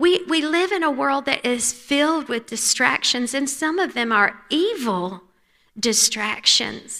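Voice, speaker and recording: A raised, projected voice with a bright, sharp tone, very wide pitch swings and a fairly slow pace. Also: woman, high pitch for a woman. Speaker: conference speaker, pastor's wife. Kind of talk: women's conference talk. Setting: church stage with audience.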